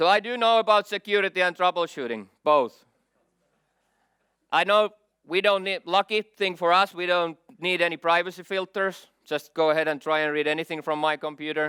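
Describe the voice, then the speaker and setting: The speaker has a Finnish accent and a bright, sharp tone. The sound is dry and close, with no echo. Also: man, high pitch for a man, ordinary pitch variation, moderate pace. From Finland. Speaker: IT security expert. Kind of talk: conference keynote.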